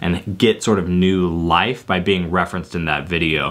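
A man speaks with fairly even intonation at a moderate pace. His pitch is very deep and low. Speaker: tech video creator. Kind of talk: casual tech talk to camera. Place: home room.

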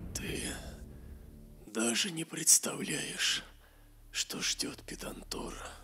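Music plays in the background as a man uses a raspy, put-on character voice at a fairly high pitch. He goes at a very slow pace with long, frequent pauses. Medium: read story. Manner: ominous, bitter.

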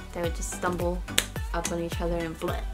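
A woman talks while music plays clearly behind her. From Peru. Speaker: lifestyle YouTuber. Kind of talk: casual talk to camera. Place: home room. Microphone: camera far.

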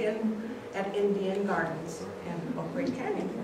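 Speaking at a fairly slow pace in an American accent, a woman is heard with audible room echo and noticeable background noise. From Clarkdale, Arizona, USA. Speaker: retired teacher. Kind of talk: oral history presentation. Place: hall. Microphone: camera far.

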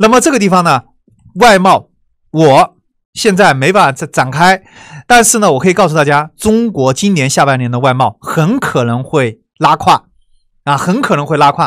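The speech moves at a moderate pace. The recording is very clean, with a silent background. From China, Wuhan. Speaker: online course teacher. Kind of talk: lecture. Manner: conversational, many filler sounds.

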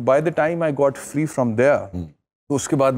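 Keeping a moderate pace, a man speaks with ordinary pitch variation. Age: 40s. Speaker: lawyer and TV anchor; lawyer, TV anchor. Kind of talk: talk show interview. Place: studio. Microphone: lapel.

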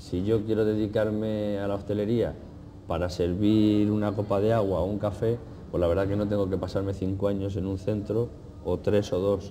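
With light background noise behind him, a man talks at a moderate pace in a fairly low, monotone, flat voice. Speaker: cooking teacher. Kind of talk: interview. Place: cafe. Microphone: lapel.

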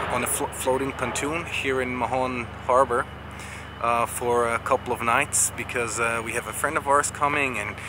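A man's moderately paced speech sounds dry with no echo, though background noise is noticeable. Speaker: sailing vlogger. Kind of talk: casual vlog chat. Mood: cheerful, pleased. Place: street. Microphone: phone near.

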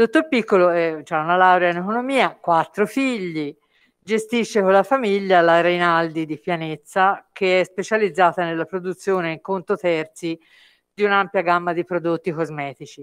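A woman speaks at a moderate pace with a fairly low pitch. Her pitch varies in an ordinary way over a quiet background. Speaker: course moderator. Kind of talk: formal introduction. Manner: halting. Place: hall.

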